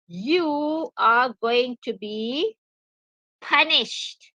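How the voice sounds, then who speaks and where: A raised, projected voice with a bright, sharp tone swings very widely in pitch. The sound is dry and close, with no echo. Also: woman. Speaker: English teacher. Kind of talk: lecture. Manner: slow.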